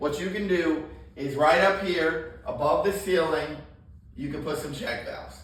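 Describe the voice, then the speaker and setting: A man speaks loudly and confidently at a high pitch with ordinary pitch variation. Audible room echo and noticeable background noise are present. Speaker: plumbing trainer. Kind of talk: hands-on training talk. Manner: loud and confident.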